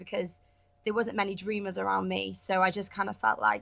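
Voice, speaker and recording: A bright, sharp-toned woman's voice with a Welsh accent. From Wales, Pembrokeshire. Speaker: actress and online entrepreneur. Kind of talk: podcast interview. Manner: casual, many fillers.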